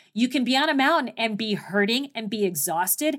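A woman with a plain, everyday voice speaks in a General American accent at a moderate pace, her pitch fairly high and her intonation lively. The recording is very clean, with a silent background. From US Southwest, Phoenix, Arizona. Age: 50s. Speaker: mountaineer and leadership speaker. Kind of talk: interview.

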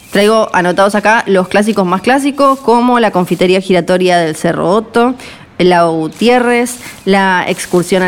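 A woman with a medium-pitched voice is heard against noticeable background noise. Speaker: travel podcast host. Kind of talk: scripted narration; casual interview.

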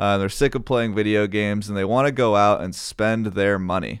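In a very clean recording with a silent background, an ordinary speaking voice moves at a fairly quick pace with fairly even intonation. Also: man. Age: 20s. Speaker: financial advisor, podcast co-host. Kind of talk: casual chat about investing.

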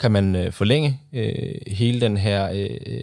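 Ordinary pitch variation shapes this man's fairly low-pitched voice. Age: 20s. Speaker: sustainability consultant. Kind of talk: studio interview. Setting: studio. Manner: hesitant with fillers.

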